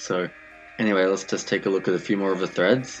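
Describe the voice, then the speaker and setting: Very deep, low male voice, moderately paced. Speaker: music reviewer. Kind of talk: commentary.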